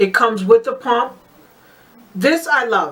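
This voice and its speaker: Noticeable background noise fills the recording. Through it, a woman talks at a moderate speed. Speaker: beauty vlogger. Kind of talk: casual product review tutorial. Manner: hesitant with fillers.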